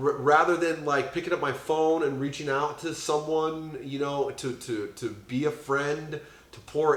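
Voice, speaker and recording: Through audible room echo, a man with a fairly high pitch talks at a moderate pace. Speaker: podcast host in addiction recovery. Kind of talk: casual chat. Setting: on a couch at a friend's home. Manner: loud; halting, many fillers and restarts.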